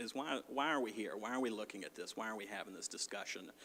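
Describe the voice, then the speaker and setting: Bright and sharp in tone, a man with an American accent speaks at a fairly low pitch with fairly even intonation. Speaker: clinical social worker and addiction counselor. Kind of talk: presentation at community forum. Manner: fast when anxious.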